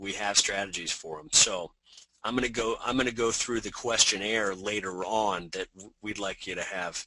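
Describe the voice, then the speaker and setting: The tone is bright and sharp, with fairly even intonation. The pace is fairly slow. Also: man. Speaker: insurance marketing presenter. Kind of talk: webinar presentation. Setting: webinar.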